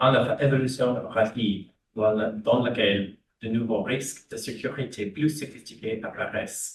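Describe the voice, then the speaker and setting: This man talks in an English accent at a medium pitch. His voice is somewhat breathy, with fairly even intonation. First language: English (speaking French). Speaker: diplomat. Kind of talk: prepared panel speech. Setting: conference panel. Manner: halting, with false starts.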